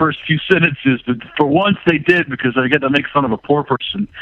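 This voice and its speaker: A man with an American accent has a plain, everyday voice. His pitch is fairly high, and his intonation is lively. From North Carolina. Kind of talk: casual chat.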